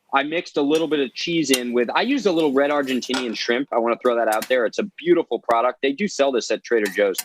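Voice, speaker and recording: Animated and very fast, a man talks at a fairly high pitch in a dry, close sound with no echo. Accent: New Jersey. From New Jersey. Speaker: chef and seafood restaurant owner. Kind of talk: cooking show chat. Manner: fast, animated.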